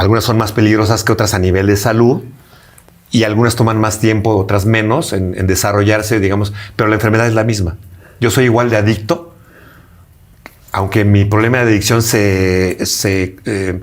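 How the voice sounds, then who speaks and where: A man with a fairly low pitch speaks at a moderate pace with fairly even intonation and very even loudness, taking long, frequent pauses amid audible room echo. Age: 60s. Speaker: interviewee recovering from addiction. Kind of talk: interview testimony. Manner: halting, with repetitions.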